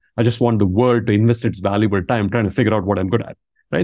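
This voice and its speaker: With a Tamil accent, a man at a medium pitch speaks at a very fast pace. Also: very clean recording, silent background. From India, Tamil Nadu. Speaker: business school professor. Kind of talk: interview conversation.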